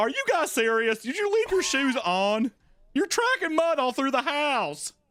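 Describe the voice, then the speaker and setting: A put-on character voice, high-pitched and delivered at a moderate pace, plays up a Midwestern accent. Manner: prim, scolding.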